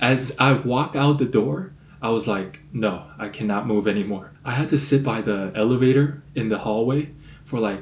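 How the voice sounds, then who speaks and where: A somewhat breathy man of medium pitch speaks at a moderate pace with ordinary pitch variation, some room echo audible. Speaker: vlogger. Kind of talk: casual vlog talk. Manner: casual, filler-heavy.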